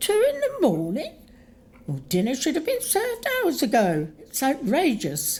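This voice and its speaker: A put-on character voice at a fairly slow pace. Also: female-sounding voice, high pitch for a woman. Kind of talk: audio drama.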